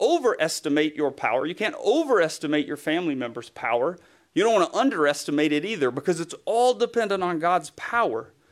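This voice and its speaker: On a very clean recording with a silent background, a man with a Southern US accent speaks in a high pitch with very wide pitch swings and hardly any pauses. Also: fairly quick pace. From US South, East Tennessee. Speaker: guest preacher, writer. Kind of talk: sermon.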